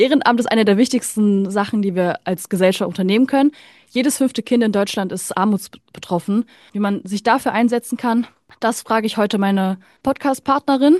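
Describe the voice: In a very clean recording with a silent background and dry, close sound with no echo, a woman speaks at a moderate pace with a medium pitch, ordinary pitch variation, and a slightly mellow tone.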